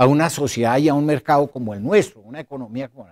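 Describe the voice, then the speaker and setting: An unremarkable speaking voice at a fairly quick pace, in a very clean recording with a silent background. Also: man. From Colombia. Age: 60s. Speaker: former diplomat and foreign policy speaker. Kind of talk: lecture.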